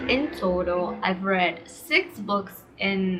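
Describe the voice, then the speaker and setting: There is noticeable background noise as a woman speaks with a Portuguese accent. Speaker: booktuber. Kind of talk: casual vlog talk. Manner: casual with frequent fillers.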